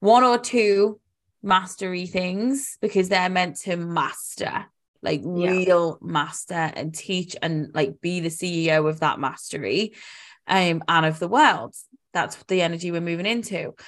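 A woman's fairly low voice with a British accent, ordinary pitch variation and a fairly slow pace, on a very clean recording with a silent background. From UK. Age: 30s. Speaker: life coach. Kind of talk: casual chat.

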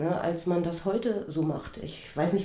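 A woman's fairly low voice at a moderate pace, with audible room echo and noticeable background noise. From eastern Germany, Cottbus. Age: 50s. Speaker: podcast host, former gymnast and karate instructor. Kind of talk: personal storytelling monologue.

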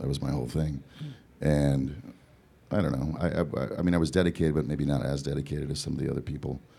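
A man with an American accent, very deep and low in pitch with ordinary pitch variation, at a very fast pace amid noticeable background noise. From Southern California. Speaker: singer-songwriter. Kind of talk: interview before audience. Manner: halting.

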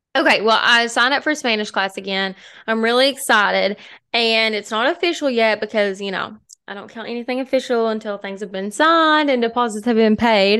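Against a quiet background, a woman with an American accent speaks at a fairly quick pace with fairly high pitch and ordinary pitch variation. Her tone is bright and sharp. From US small town. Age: 20s. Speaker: podcast co-host. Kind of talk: reading aloud; casual chat.

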